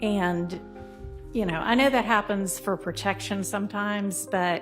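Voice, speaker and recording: Fairly slow speech with ordinary pitch variation and music in the background. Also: woman. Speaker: judge. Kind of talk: courtroom address from the bench.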